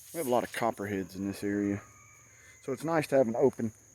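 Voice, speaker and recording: A man speaks at a medium pitch and a fairly quick pace. His tone is dark and mellow. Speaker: outdoors vlogger. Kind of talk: casual vlog talk. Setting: outdoors.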